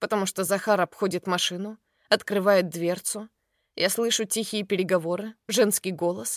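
In a quiet background, an unforced reading voice moves with fairly even intonation.

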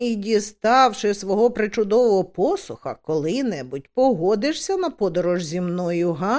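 Natural-voiced reading aloud

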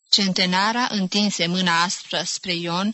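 The intonation is fairly even throughout. It comes across as an unforced reading voice.

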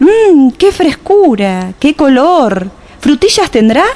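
A woman uses a put-on character voice with a dark, mellow tone and a high pitch. She speaks at a slow pace with big pitch swings.

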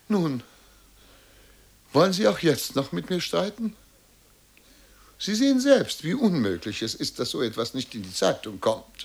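In a put-on character voice, a man talks at a fairly slow pace and fairly high pitch, with vocal fry, big pitch swings and long, frequent pauses.

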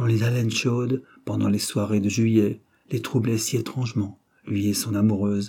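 The reading aloud is in a natural voice, with intonation that stays fairly even.

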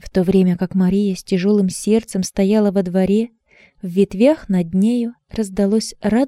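Plain reading aloud in fairly even intonation, set against a quiet background.

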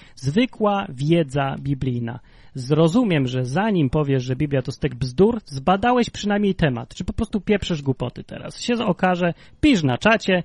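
A man speaks in a somewhat breathy voice with lively intonation. The sound is dry and close, with no echo. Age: 30s. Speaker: livestream podcast host. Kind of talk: casual chat.

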